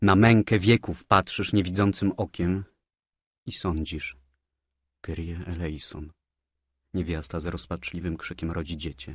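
With a very deep, low pitch and a somewhat breathy sound, a man speaks at a fairly slow pace with long, frequent pauses, fairly even intonation and big swings in loudness, in a very clean recording with a silent background. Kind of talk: literary audiobook reading of a poem. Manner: solemn, dramatic, slow declamation; grave, tragic, intoned like a prayer.

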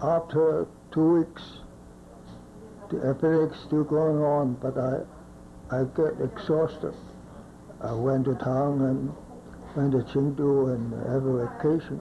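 A man talks at a fairly slow pace with long, frequent pauses and fairly even intonation. There is noticeable background noise. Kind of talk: interview answer. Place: home room. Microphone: old recording.

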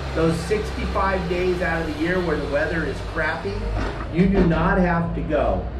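Music plays in the background with audible room echo. A man speaks at a fairly slow pace. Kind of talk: tutorial. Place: street. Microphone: camera far.

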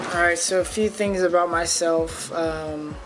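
A man talks at a fairly slow pace while music plays clearly in the background. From Fairfield, California. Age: 20s. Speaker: college student athlete. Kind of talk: audition tape talk to camera.

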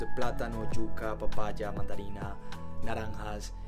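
Loud music plays in the background behind a man with a Colombian accent. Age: 20s. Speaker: university student; vlogger. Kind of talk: casual talk to camera. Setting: outdoors. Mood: warm, nostalgic, cheerful. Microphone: phone near.

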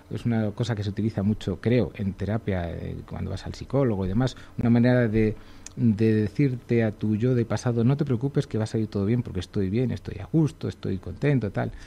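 Fairly low in pitch, a man's voice has a dark, mellow tone and ordinary pitch variation. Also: fairly quick pace. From Segovia, Spain; Spain. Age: 40s. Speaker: illustrator; radio guest. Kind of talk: radio interview. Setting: radio studio. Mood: humorous, self-deprecating. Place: studio. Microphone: studio mic.

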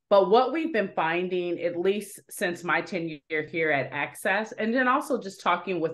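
In a normal speaking voice, a woman with a fairly low pitch and an American accent talks at a moderate pace with ordinary pitch variation. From Dearborn, Michigan, US. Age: 40s. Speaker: nonprofit business program manager. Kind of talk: interview. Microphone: video call.

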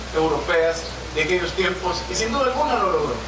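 Amid audible room echo and noticeable background noise, a man talks fairly quickly. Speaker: mayor giving a commemorative speech. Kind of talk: formal public speech. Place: stage.

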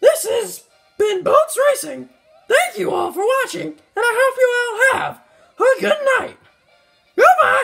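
A put-on character voice, squeaky and extremely high in pitch, moves at a fairly slow pace with long, frequent pauses over music in the background.

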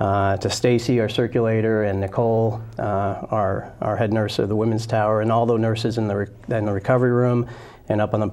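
A man speaks with an American accent at a medium pitch. His intonation is monotone and flat. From New Jersey, Princeton; New Jersey. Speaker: gynecologist surgeon; guest. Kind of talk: interview. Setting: studio. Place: studio. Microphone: lapel.

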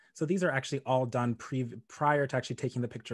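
With an American accent, a man with an unremarkable speaking voice talks at medium pitch with fairly even intonation. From US, Pittsburgh (Nigerian family). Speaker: multimedia artist, photographer. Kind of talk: artist talk with slides. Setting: video call.

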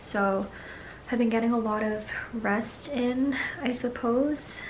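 Light background noise runs under the woman's speech. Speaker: vlogger. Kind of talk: casual vlog chat. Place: home room. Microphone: phone near.

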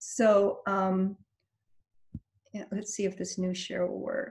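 Her voice is somewhat breathy as a woman speaks. Behind her, the background stays quiet. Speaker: meeting host presenting. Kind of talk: meeting presentation. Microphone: video call.

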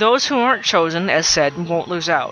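Speech at a moderate pace comes through with music in the background. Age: 30s. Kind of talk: contest announcement to viewers.

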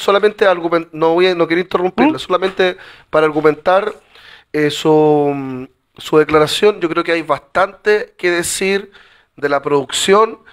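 A man speaks at a fairly slow pace with a high-pitched voice. The background is quiet. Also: ordinary pitch variation. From Chile. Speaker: city councillor. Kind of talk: formal council meeting.

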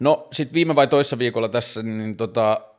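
The background stays quiet as a man talks. His pace is moderate, and his pitch varies in an ordinary way. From northern Finland, Tornio; northern Finland. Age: 30s. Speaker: vlogger, talk show host. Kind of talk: solo monologue vlog; casual personal talk. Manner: halting, many fillers. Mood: reflective, personal. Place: home room. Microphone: studio mic.

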